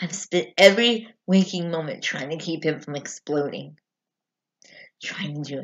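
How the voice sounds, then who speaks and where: In an angry tone, a woman speaks fairly slowly at a fairly low pitch with ordinary pitch variation, big swings in loudness, and long, frequent pauses over a quiet background. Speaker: amateur actor performing a monologue. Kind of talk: dramatic monologue: a raw, emotional confession of childhood fear at a father's funeral. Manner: halting, stumbling repetitions as if choked with emotion; bitter and defiant, rising to angry refusal. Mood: emotional, distressed storytelling. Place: home room. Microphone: webcam.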